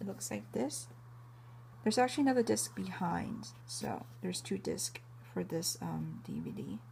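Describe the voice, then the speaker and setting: Vocal fry runs through a dark, mellow tone. The pitch swings very widely. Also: woman, very deep, low pitch for a woman, moderate pace. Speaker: anime collector vlogger. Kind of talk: casual show-and-tell video. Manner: hesitant, many fillers.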